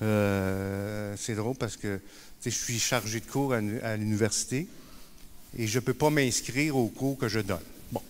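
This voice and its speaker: A man with a Quebec accent speaks at a fairly slow pace with long, frequent pauses, a fairly low pitch and ordinary pitch variation. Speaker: peer support worker and speaker. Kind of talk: conference talk. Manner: hesitant, many fillers and repetitions.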